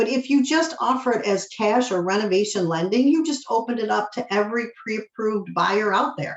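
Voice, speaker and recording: A woman with an American accent speaks in an animated tone at a fairly quick pace, her fairly high pitch rising and falling in lively intonation with hardly any pauses. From Michigan. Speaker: mortgage loan officer. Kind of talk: presentation to real estate agents. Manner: fast.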